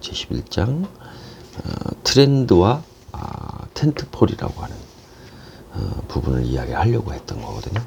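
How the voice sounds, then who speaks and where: A man speaks at a moderate pace with very wide swings in pitch, over noticeable background noise. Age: 50s. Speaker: business coach and lecturer. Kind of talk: casual talk to camera.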